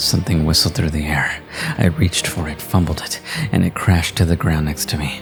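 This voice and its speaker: Music plays in the background as a man talks in a very deep, low pitch. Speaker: voice actor. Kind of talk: horror story narration.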